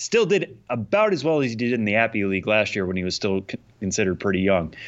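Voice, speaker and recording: A normal speaking voice at a fairly quick pace, with an American accent. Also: man. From Massachusetts. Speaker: podcast co-host. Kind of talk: casual chat.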